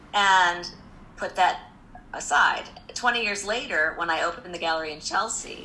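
This woman has an American accent and a medium-pitched voice with a bright, sharp tone. Her intonation stays fairly even, and there is audible room echo. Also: long, frequent pauses. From US Midwest (Indianapolis, Indiana). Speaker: art gallery owner. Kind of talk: interview. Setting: video call.

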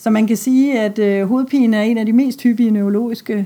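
A woman's dark, mellow voice moves at a fairly slow pace with fairly even intonation. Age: 50s. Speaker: pediatrician. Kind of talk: interview. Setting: doctor's office.

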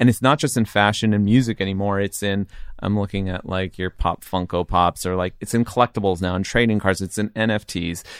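An ordinary speaking voice with an American accent, fairly quick and fairly even in intonation, in a dry, close sound with no echo. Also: man, fairly low pitch for a man. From Southern California (Riverside). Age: 40s. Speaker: streetwear brand founder. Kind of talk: casual chat.

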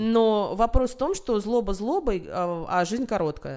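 Speaking at a moderate pace with a fairly high pitch, a woman has an unremarkable speaking voice, captured on a very clean recording with a silent background. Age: 30s. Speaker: journalist and film critic. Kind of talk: casual chat.

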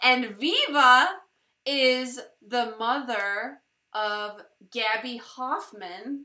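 The woman's voice is high-pitched, and audible room echo surrounds it. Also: ordinary pitch variation. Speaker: podcast host. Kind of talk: casual chat. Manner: halting, stuttering.

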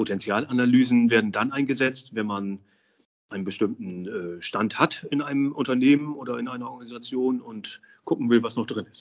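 A man talks at a fairly quick pace and medium pitch, with ordinary pitch variation. It is an ordinary speaking voice. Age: 50s. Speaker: social pedagogue and business consultant. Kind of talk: interview.

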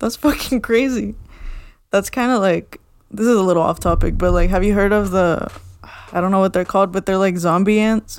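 A woman speaks in a plain, everyday voice with ordinary pitch variation. Her loudness stays very even. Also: medium pitch for a woman, fairly quick pace. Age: 20s. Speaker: podcast co-host. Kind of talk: casual chat.

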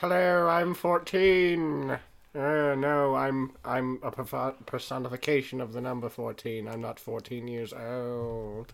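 A guttural, put-on character voice at a very slow pace, with hardly any pauses and ordinary pitch variation. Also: man, medium pitch for a man. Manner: playful.

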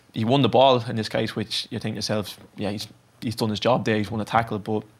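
A man talks at a very fast pace. His medium-pitched voice stays monotone and flat. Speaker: footballer. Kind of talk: casual chat. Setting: studio.

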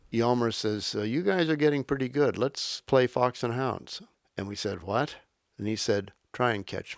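On a very clean recording with a silent background, a man of medium pitch talks at a moderate pace with ordinary pitch variation in an ordinary speaking voice. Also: dry, close sound with no echo. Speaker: historian and professor. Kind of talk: interview recollection.

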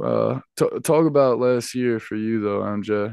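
This man talks at a fairly slow pace against a quiet background. His pitch is medium. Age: 20s. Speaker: podcast co-host, former college athlete. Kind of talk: casual chat.

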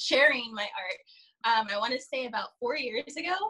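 Using a raised, projected voice, a woman with an American accent speaks at a moderate pace in a high pitch, her tone bright and sharp and her pitch swinging very widely. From Southern California. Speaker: artist guest. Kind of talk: casual interview chat. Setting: video call.

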